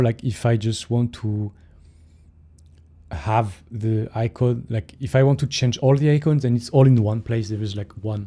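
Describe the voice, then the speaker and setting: A man with a French accent speaks at a fairly slow pace in a dark, mellow, somewhat breathy voice of medium pitch with ordinary pitch variation. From France. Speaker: software developer streamer. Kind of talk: casual live stream coding chat. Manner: hesitant, many fillers.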